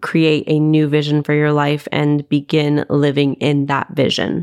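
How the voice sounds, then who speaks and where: With an American accent, a woman speaks at a moderate pace in a very deep, low pitch, her sound dry and close with no echo in a very clean recording with a silent background. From US West Coast (Los Angeles). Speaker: podcast co-host, entrepreneur. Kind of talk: casual chat.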